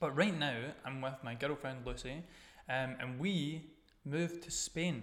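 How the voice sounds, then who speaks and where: Speaking at a fairly slow pace, a man with a fairly high pitch leaves long, frequent pauses, with ordinary pitch variation. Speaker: podcast host. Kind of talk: casual chat. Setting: home recording with makeshift microphones.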